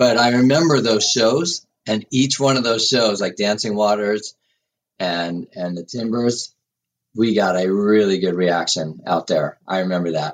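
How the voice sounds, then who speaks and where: Speaking with an American accent in a plain, everyday voice, a man uses a fairly low pitch, lively intonation and a fairly slow pace. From US Northeast, Westchester County, New York. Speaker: rock drummer. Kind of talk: interview.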